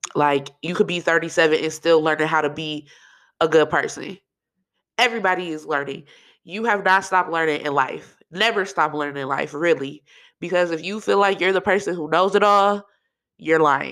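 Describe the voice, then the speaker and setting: Animated female voice, fairly low in pitch, with ordinary pitch variation at a moderate pace, very clean recording, silent background. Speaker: podcast host. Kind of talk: casual solo podcast monologue. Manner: animated, chatty.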